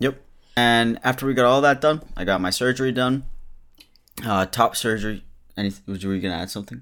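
With music in the background, a man speaks at a medium pitch in an animated tone, showing ordinary pitch variation and leaving long, frequent pauses. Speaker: podcast host, YouTuber. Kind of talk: casual chat with his mom. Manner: animated, joking.

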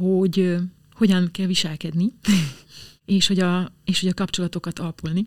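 Delivery is fairly quick, somewhat breathy and monotone, with flat intonation. The sound is dry and close with no echo. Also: woman. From southern Slovakia (Hungarian minority). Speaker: opera singer. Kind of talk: interview.

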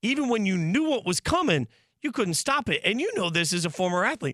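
A man talks very fast in a raspy, high voice. His pitch swings very widely. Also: very clean recording, silent background. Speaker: sports radio host. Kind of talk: sports talk show banter. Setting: studio. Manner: high-pitched, raspy delivery he says is his everyday voice.

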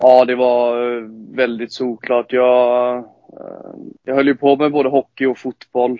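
A man talks at a very slow pace with medium pitch. His intonation is flat and monotone, with long, frequent pauses. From western Sweden, Lerum near Gothenburg. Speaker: professional ice hockey player. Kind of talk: casual interview.

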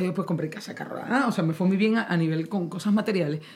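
A woman's medium-pitched voice with a Maracaibo accent. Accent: Maracaibo (maracucho) Venezuelan. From Venezuela, Maracaibo (Zulia). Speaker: singer. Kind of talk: casual chat. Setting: studio.

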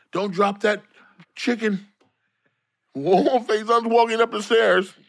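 On a very clean recording with a silent background, a man talks in an American accent. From US, San Diego. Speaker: comedian. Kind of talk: casual chat.

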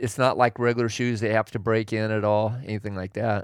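A man's fairly low, monotone, flat voice in a dry, close sound with no echo. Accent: American. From Oregon, US Pacific Northwest. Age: 60s. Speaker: hunter and backpacker, host's father. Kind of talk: casual chat.

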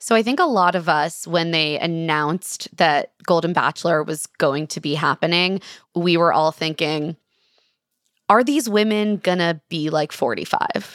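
Recorded very cleanly with a silent background and a dry, close sound with no echo, a woman with an ordinary speaking voice talks at a fairly low pitch with ordinary pitch variation. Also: fairly slow pace. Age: 30s. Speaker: journalist and podcast host. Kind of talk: interview.

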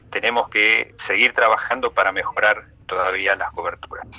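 The voice moves at a moderate pace, captured with a dry, close sound with no echo. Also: man. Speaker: infectious disease doctor. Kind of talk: radio interview.

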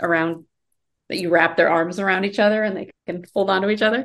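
Here is a woman with an ordinary speaking voice and an American accent. Her intonation is fairly even, and the background is quiet. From US Midwest/Mountain West (Iowa and Colorado). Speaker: screenwriter and author. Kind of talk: casual interview.

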